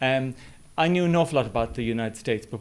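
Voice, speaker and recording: This man talks in an Irish accent. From west of Ireland. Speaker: business school head, academic. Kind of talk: presentation. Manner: hesitant, many fillers.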